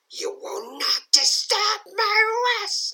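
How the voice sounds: Pitched extremely high, the speaker performs in a put-on character voice.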